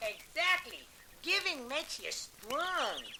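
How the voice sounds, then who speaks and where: This put-on character voice sits at an extremely high pitch with very wide pitch swings. The pace is fairly slow, and background noise is clear. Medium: read story. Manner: chirpy, casual slang.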